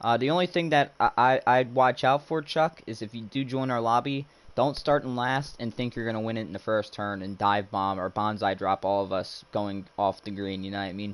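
A man with an unremarkable speaking voice, medium in pitch with ordinary pitch variation. He talks at a moderate pace with hardly any pauses. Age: 20s. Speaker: gaming live streamer. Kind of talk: casual live stream commentary. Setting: live stream with voice chat.

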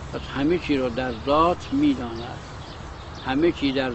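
A man is speaking with noticeable background noise. The sound is dry with no echo. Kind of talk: lecture. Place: garden. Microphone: lapel.

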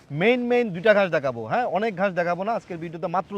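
The sound is dry and close, free of echo. A man talks with lively intonation. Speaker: farming video host. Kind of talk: casual interview; presenter intro to camera.

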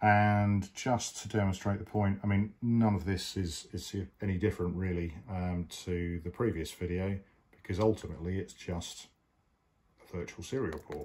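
A man with a fairly low pitch speaks at a moderate pace. His intonation stays fairly even. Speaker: amateur radio hobbyist. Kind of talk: tutorial. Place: home room. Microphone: phone near.

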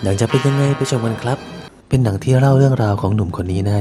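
Music can be heard behind the speaker. He talks at a medium pitch. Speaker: movie recap narrator. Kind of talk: movie spoiler recap narration. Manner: playful, humorous.

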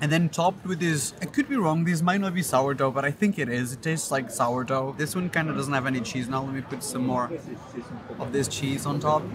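A man at a fairly quick pace with ordinary pitch variation, dry sound without echo, and noticeable background noise. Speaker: food vlogger. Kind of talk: casual vlog chat. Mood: enthusiastic, playful. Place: street. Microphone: phone near.

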